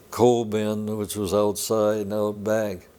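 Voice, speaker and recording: On a very clean recording with a silent background, a man with a fairly low pitch and a dark, mellow tone speaks at a very slow pace. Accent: American. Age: 90s. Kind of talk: oral history interview answer. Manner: hesitant, many filler words.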